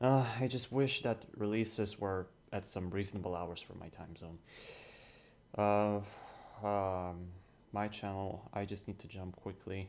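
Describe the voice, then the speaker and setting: With a Polish accent, a man speaks at a fairly slow pace with a fairly low pitch, fairly even intonation and big swings in loudness. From Poland. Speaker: gaming streamer. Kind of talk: casual gameplay commentary.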